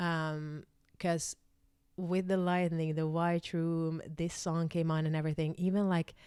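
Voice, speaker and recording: A woman with a Swedish accent speaks fairly slowly at a fairly low pitch, her tone dark and mellow. Her intonation is monotone and flat, and the recording is very clean with a silent background. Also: very even loudness. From Finland (Swedish-speaking Finn). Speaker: spiritual vlogger. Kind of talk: personal testimony. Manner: halting, many fillers.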